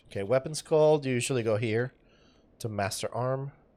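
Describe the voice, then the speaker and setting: A man's dark, mellow voice at a medium pitch comes through on a very clean recording with a silent background. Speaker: gaming YouTuber. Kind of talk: gameplay tutorial. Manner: casual, joking.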